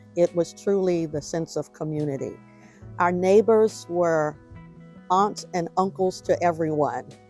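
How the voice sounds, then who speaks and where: With music in the background, a woman with a fairly low pitch speaks at a fairly slow pace with ordinary pitch variation. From Washington, DC. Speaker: oral history narrator. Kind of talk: oral history interview answer. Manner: conversational, reminiscing.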